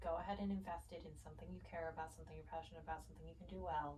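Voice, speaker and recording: The speaker has an American accent. Room echo is audible. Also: woman. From US East Coast. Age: 20s. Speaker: interviewee, young adult. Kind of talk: casual interview.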